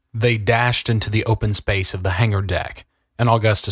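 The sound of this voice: The voice reads in an unforced way with fairly even intonation over a quiet background.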